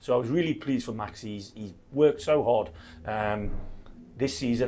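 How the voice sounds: The voice belongs to a man with a medium pitch. It has a dark, mellow tone.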